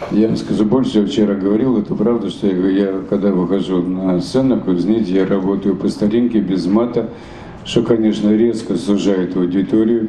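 The voice keeps fairly even intonation and very even loudness against noticeable background noise. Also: man, fairly low pitch for a man, moderate pace. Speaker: satirist writer and stage performer. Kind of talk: interview answer. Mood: animated, humorous. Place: hall. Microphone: handheld.

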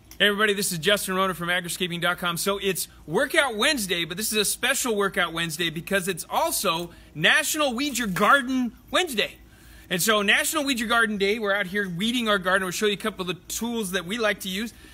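This man talks at a very fast pace in a raised, projected voice. His pitch varies in an ordinary way. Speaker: gardening business host. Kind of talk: tutorial. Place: garden. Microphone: camera far.

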